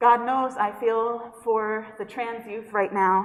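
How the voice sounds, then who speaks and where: Someone with a New York accent speaks at a fairly slow pace, with audible room echo. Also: woman. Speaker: pastor. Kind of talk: sermon.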